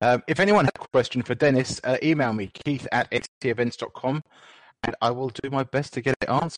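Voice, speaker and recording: At a fairly quick pace, a man speaks in an unremarkable speaking voice of medium pitch with ordinary pitch variation. The sound is dry and close, with no echo. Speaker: moderator and host. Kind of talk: Q&A moderating.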